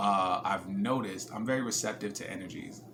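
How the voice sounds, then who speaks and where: A man speaks with an American accent and ordinary pitch variation. The room echo is audible, and there is noticeable background noise. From New Jersey. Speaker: vlogger. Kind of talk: personal vlog. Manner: casual, relaxed.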